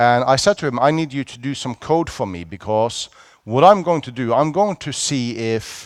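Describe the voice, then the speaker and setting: A man with a Norwegian accent and lively intonation. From Norway. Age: 40s. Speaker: security conference speaker. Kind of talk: conference talk. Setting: stage with audience. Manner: animated.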